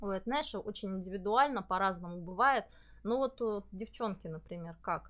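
Against a quiet background, a woman uses an ordinary speaking voice at a medium pitch and moderate pace with ordinary pitch variation. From Buryatia, Russia. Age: 40s. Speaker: psychologist. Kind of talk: live stream interview. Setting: live stream with lapel mics.

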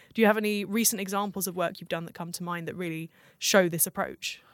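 A woman with a southern English accent and medium pitch talks at a very fast pace in a very clean recording with a silent background and a dry, close sound with no echo. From southern England, Southampton. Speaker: podcast host, design researcher. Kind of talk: interview. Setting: office.

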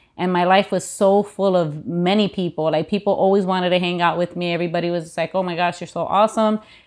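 In an American accent, a woman at medium pitch speaks very fast with fairly even intonation against a quiet background. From US Midwest, Chicago. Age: 30s. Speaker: pastor. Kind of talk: casual chat.

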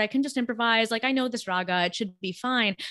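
Recorded very cleanly against a silent background, a woman speaks in a fairly high voice with a Californian accent. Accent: General American, California. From US West Coast, Los Angeles. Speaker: composer. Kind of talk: interview conversation. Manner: hesitant fillers (um, you know).

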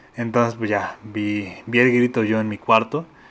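A man's medium-pitched voice in a Mexican accent. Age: 20s. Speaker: podcast host. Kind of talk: casual monologue. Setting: alone in bedroom. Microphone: new microphone.

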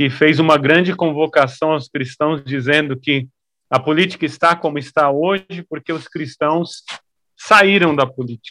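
In a normal speaking voice, a man talks at a fairly slow pace with a fairly high pitch and fairly even intonation, the sound dry and close with no echo. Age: 30s. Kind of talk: interview.

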